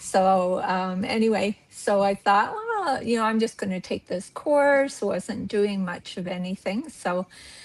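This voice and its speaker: A woman with a Canadian accent talks at a fairly slow pace and medium pitch with ordinary pitch variation, her sound dry and close with no echo, over noticeable background noise. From western Canada. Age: 60s. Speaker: art club member. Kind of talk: casual interview. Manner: hesitant, many fillers.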